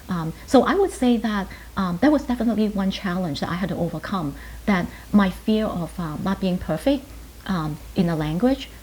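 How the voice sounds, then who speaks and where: A woman speaks in a Chinese accent at a moderate pace. Her medium pitch carries lively intonation and vocal fry. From Hong Kong, moved to New York at ten. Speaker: pharmacist and professor. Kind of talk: interview. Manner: hesitant, many fillers.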